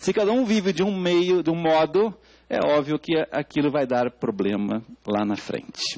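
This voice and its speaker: Here a man speaks at a moderate pace with very wide pitch swings. The sound is dry and close, without echo. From Portugal. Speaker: educator, expert speaker at public hearing. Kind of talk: testimony at parliamentary public hearing.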